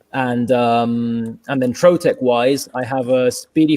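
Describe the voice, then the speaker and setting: A man with a British accent speaks at a medium pitch with a dark, mellow tone and ordinary pitch variation. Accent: British-sounding. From London, England. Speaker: furniture maker and business owner. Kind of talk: interview. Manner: halting.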